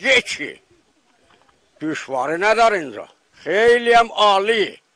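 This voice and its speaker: A man speaks at a very slow pace with ordinary pitch variation. The sound is dry and close, with no echo. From Iran. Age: old. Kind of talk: interview answer.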